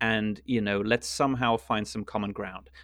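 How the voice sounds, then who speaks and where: A man in a German accent, medium pitch, ordinary pitch variation and moderate pace, over a quiet background. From Luxembourg. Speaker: international news reporter. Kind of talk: political discussion podcast. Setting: remote call.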